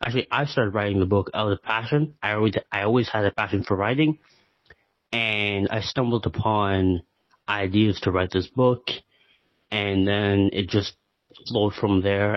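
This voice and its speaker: Delivered at a moderate pace, this is an ordinary speaking voice with fairly even intonation. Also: man. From Canada. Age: 20s. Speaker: author. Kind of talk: interview.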